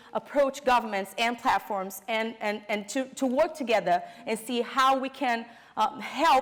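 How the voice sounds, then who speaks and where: At a moderate pace, a woman with a Brazilian Portuguese accent speaks with ordinary pitch variation. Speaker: fact-checking network director. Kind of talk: conference presentation. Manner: halting, many fillers.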